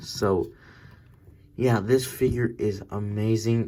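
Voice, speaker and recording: A man speaks very slowly at medium pitch in a dark, mellow tone. His intonation is monotone and flat. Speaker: toy figure reviewer. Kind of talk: casual review. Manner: prone to stuttering.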